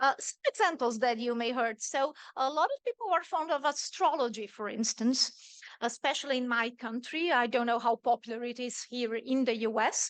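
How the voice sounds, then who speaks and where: A woman speaks with a Portuguese accent at a high pitch. The sound is dry and close with no echo. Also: ordinary pitch variation, moderate pace. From Brazil. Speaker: microbiologist, visiting professor. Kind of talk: lecture.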